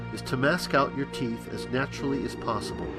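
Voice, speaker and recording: A man's voice over music in the background. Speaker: costume teeth maker. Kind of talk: product tutorial narration.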